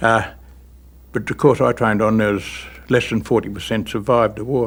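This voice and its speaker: Fairly even in intonation, a man with an Australian accent speaks at a medium pitch. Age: 70s. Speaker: war veteran. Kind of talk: testimony.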